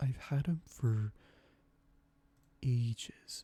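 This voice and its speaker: Soft-spoken and somewhat breathy, a man talks in a relaxed tone at medium pitch, with a dark, mellow tone and ordinary pitch variation. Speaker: ASMR creator. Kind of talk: ASMR gaming commentary. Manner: soft-spoken, relaxed.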